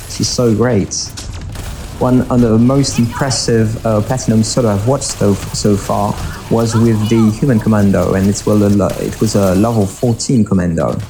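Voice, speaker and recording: Over noticeable background noise, a man speaks at a fairly low pitch with very even loudness and fairly even intonation. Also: moderate pace. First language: French. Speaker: gaming YouTuber. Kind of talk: live gameplay commentary. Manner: halting, many fillers.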